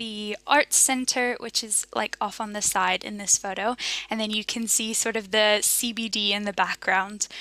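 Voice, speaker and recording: In a dry sound with no echo, a woman speaks in a bright, sharp tone with monotone, flat intonation. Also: fairly slow pace. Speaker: presenter. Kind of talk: casual presentation to a virtual audience. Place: home room.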